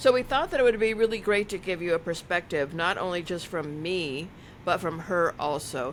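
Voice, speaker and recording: A woman with a fairly low pitch and an unremarkable speaking voice. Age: 60s. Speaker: motivational speaker and podcast host. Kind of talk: advice podcast chat.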